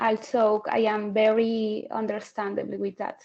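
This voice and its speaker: A woman speaks very slowly with a Spanish accent. Her voice sits fairly high. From Colombia. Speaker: English exam candidate. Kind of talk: mock speaking exam. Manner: halting, many fillers.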